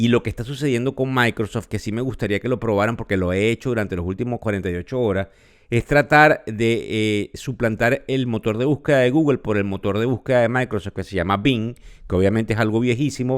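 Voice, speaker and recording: A man with a Venezuelan accent, medium pitch, ordinary pitch variation and a fairly quick pace, in a very clean recording with a silent background. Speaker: financial podcast host. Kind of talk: podcast commentary. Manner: conversational with filler hesitations.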